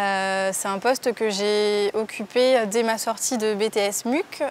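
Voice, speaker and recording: A woman's normal speaking voice at medium pitch. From southwest France, Landes (Mont-de-Marsan). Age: 20s. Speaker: work-study student and buyer. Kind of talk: interview testimony.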